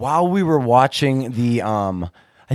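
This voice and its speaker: A man with a Pittsburgh accent speaks at a medium pitch with very wide pitch swings, in a dry, close sound with no echo. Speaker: sports podcast host. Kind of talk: casual chat. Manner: animated.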